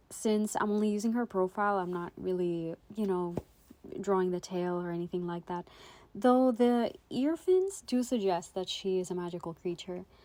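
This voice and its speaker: Speaking at a moderate pace with a non-native accent, a woman has a dark, mellow tone, medium pitch and ordinary pitch variation. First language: not English. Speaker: art YouTuber. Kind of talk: casual voiceover narration. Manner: hesitant, many fillers.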